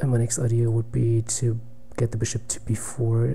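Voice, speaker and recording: Over noticeable background noise, a man speaks at a moderate pace in a medium pitch. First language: German. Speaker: chess streamer. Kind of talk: live game commentary. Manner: halting.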